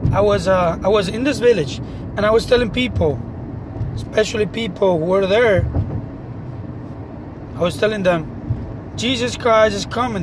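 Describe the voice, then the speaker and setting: With noticeable background noise and a dry sound with no echo, a man speaks at a moderate pace, his pitch swinging very widely between long, frequent pauses. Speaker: religious vlogger. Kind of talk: casual vlog testimony. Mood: earnest, serious. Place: car. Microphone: phone near.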